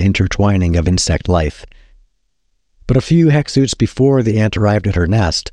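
Fairly quick, fairly low-pitched speech from a man with a dark, mellow tone and ordinary pitch variation, in a dry, close sound with no echo. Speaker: podcast host reading a book's first page. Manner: measured, descriptive narration with storyteller's pacing.

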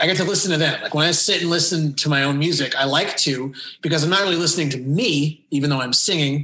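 A man uses a normal speaking voice with a fairly high pitch and ordinary pitch variation. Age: 30s. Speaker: lead vocalist and rhythm guitarist of a pop punk band. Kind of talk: casual interview.

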